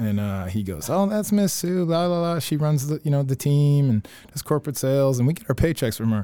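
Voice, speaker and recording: A man speaks in an ordinary speaking voice, pitched fairly high. His intonation is lively. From Canada. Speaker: former pro hockey player. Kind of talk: casual chat.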